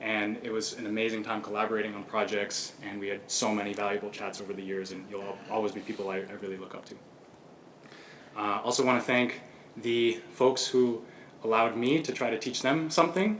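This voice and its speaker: This man talks at a fairly quick pace in a fairly low voice, with ordinary pitch variation and big swings in loudness. Audible room echo and noticeable background noise surround him. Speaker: PhD candidate. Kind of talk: thesis defense presentation. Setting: lecture room with audience. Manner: fast.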